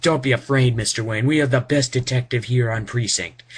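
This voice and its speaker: A man is speaking. He does it in a put-on character voice. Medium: read story. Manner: nervous, ingratiating.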